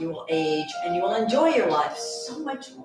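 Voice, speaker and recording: Music plays in the background. Over it, a woman speaks in a gentle, calm tone. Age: 70s. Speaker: yoga instructor. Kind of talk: guided yoga class instruction. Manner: gentle, calm, encouraging.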